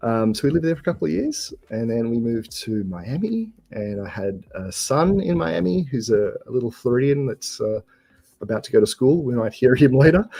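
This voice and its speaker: A man with an Australian accent speaks at a fairly quick pace. His pitch is medium and his intonation is lively. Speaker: software developer guest. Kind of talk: casual chat. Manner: halting, many fillers.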